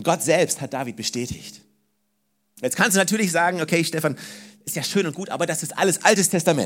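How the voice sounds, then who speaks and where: At a fairly quick pace, a man talks in a high voice with lively intonation. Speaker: preacher. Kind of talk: sermon. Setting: church. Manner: animated, emphatic, repeating key phrases to drive them home; warm, direct address to the congregation.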